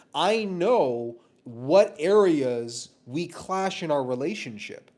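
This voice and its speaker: Passionate in tone, a man speaks with ordinary pitch variation. The recording is very clean, with a silent background. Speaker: relationship commentator. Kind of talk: casual monologue. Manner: loud and boisterous.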